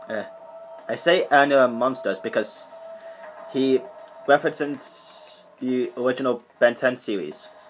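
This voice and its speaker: Over faint background music, a man speaks fairly slowly with ordinary pitch variation. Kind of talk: casual show-and-tell commentary. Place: home room. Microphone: webcam.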